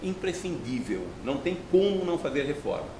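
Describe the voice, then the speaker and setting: Against noticeable background noise and audible room echo, a man talks at a moderate pace. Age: 60s. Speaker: professor. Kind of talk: TV interview. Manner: halting.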